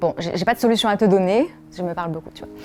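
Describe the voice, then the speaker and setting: Music plays in the background as a woman speaks at a fairly quick pace. Her pitch is medium and her intonation fairly even. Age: 20s. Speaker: podcast founder. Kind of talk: personal testimony. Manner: soft-spoken; hesitant, many fillers.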